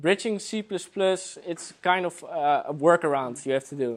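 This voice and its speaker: In a very clean recording with a silent background, a man with a Dutch accent speaks with ordinary pitch variation. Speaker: software developer. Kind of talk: conference talk. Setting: meetup with live audience. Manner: hesitant, many fillers.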